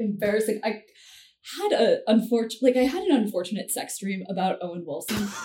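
A woman with an ordinary speaking voice talks at a fairly quick pace, her fairly high pitch moving in lively intonation. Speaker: comedian. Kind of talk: casual chat.

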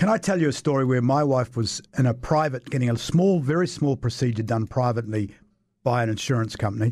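A man with a New Zealand accent talks at a very fast pace on a very clean recording with a silent background. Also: medium pitch for a man, ordinary pitch variation. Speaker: radio talk show host. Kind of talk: radio panel debate. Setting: radio studio.

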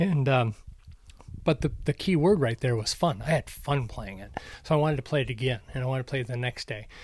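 This somewhat breathy man with an American accent talks at a fairly quick pace and medium pitch, with ordinary pitch variation, on a very clean recording with a silent background. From US Midwest (Minnesota), later Arizona. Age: 60s. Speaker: former professional racquetball player, golf shop owner. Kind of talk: casual chat. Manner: halting, with repetitions and fillers.

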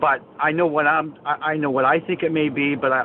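A man keeps a moderate pace and fairly even intonation while noticeable background noise carries on. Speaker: caller, former semi-pro athlete. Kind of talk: call-in question. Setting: phone call.

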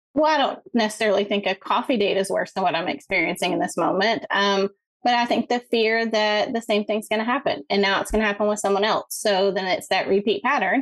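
A woman speaks in an unremarkable speaking voice, fairly high in pitch with ordinary pitch variation. Her pace is fairly quick, with hardly any pauses and very even loudness. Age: 40s. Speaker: caller. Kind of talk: phone-in advice call.

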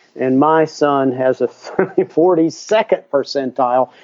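A man's fairly high voice in an American accent, with ordinary pitch variation. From US South. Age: 60s. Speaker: educator and author. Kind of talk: interview. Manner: halting.

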